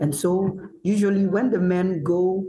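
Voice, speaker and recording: This man's voice sits high in pitch. Its tone is dark and mellow. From northern Ghana. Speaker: chef. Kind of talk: online panel discussion. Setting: video call.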